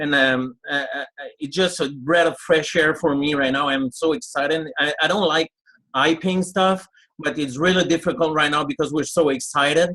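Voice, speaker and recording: Speaking with a French accent, a man uses a bright, sharp tone at a fairly high pitch. He keeps a moderate pace and fairly even intonation. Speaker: network marketing leader. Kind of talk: webinar testimony.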